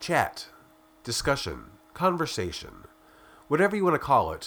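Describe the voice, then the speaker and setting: Fairly quick in pace, a man speaks with vocal fry and very wide pitch swings. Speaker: podcast host, magazine editor. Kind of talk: scripted narration.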